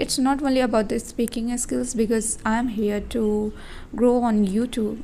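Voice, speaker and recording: A woman talks with monotone, flat intonation at a fairly high pitch. Her tone is dark and mellow. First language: not English. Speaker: vlogger and English learner. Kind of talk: casual vlog monologue. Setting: indoors at home. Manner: slow; halting.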